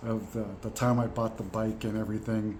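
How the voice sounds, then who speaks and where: This man speaks at medium pitch and a moderate pace. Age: 60s. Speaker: veteran program participant. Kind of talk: casual talk to camera. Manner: hesitant, many fillers.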